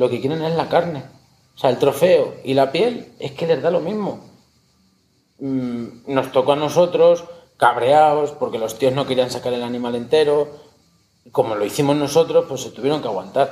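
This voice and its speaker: Dark and mellow in tone, a man's voice sits at a fairly high pitch with ordinary pitch variation. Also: moderate pace. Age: 40s. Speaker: taxidermist and hunter. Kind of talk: casual interview.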